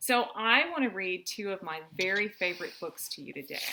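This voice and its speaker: A woman with a normal speaking voice talks at a fairly slow pace, using lively intonation at a medium pitch. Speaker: mother reading to her children. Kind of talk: children's story read-aloud. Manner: warm, friendly.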